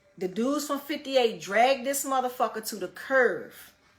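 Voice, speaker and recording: Against noticeable background noise, a woman speaks in an animated tone. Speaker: livestreamer. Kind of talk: storytelling.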